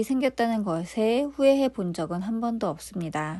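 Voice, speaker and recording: A woman talks at a fairly slow pace against a quiet background. Her tone is dark and mellow, with a fairly high pitch. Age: 40s. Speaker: YouTuber. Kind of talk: personal story narration.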